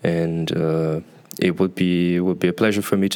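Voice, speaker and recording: A man's very deep, low voice with a Portuguese accent, monotone, flat intonation and a fairly quick pace. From Brazil. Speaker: university student. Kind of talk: interview.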